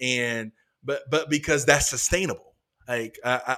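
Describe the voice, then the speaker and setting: A man with an American accent, medium pitch, ordinary pitch variation, a bright, sharp tone and a moderate pace. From North Carolina. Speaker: pastor. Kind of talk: casual interview.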